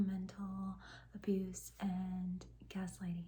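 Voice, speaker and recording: A woman speaks softly, her voice somewhat breathy. Her tone is dark and mellow. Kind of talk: soft-spoken self-help talk to camera. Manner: soft-spoken.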